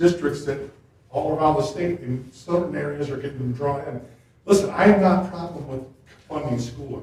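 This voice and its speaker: A man with an American accent at a moderate pace, with ordinary pitch variation and audible room echo. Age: 60s. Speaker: township resident at public meeting. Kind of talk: public meeting comment. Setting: township board meeting.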